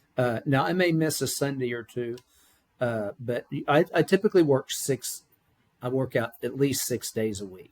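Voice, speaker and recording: A man talks in a medium-pitched voice, his intonation lively throughout. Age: 60s. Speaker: business founder. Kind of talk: interview. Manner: energetic.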